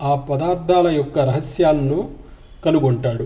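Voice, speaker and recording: A man's fairly high-pitched, somewhat breathy voice with a dark, mellow tone and ordinary pitch variation. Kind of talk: spiritual book reading. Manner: calm.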